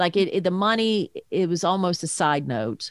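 A normal speaking voice with lively intonation moves at a moderate pace in a very clean recording with a silent background. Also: woman, dry, close sound with no echo. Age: 50s. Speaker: parent guest, podcaster. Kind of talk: casual interview chat.

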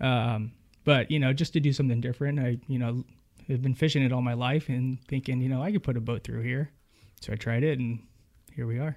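A man with an American accent and a plain, everyday voice, medium in pitch, fairly even in intonation, at a fairly quick pace. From Northern California (Winters, CA). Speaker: fly fishing guide. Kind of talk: casual interview chat.

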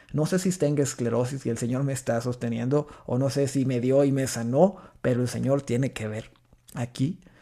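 Dark and mellow in tone, a man speaks at medium pitch and a moderate pace with ordinary pitch variation. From Mexico, rural Chihuahua. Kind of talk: personal testimony in interview. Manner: halting with repetitions.

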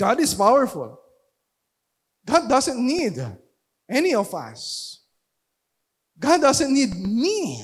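Over a silent background in a very clean recording, the speech moves very slowly with long, frequent pauses. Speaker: pastor. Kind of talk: sermon. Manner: loud; halting.

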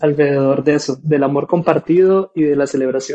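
The man's dark, mellow voice moves at a moderate pace with fairly even intonation. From Costa Rica. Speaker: political scientist, co-host. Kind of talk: casual discussion.

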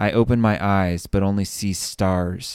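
On a very clean recording with a silent background, a man speaks at a fairly low pitch. His intonation stays fairly even. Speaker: fiction author narrator. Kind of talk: dramatic first-person narration of fantasy fiction, then a brief personal sign-off. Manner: hushed, tense, suspenseful narration with measured pacing.

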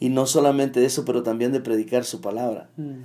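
The voice belongs to a man. The recording is very clean, and the background is silent. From El Salvador, Metapán. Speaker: church elder. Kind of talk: testimony. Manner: halting.

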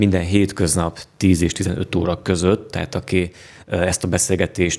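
Speaking at a moderate pace, a man uses a very deep, low pitch and a monotone, flat intonation. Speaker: podcast host. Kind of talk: casual chat.

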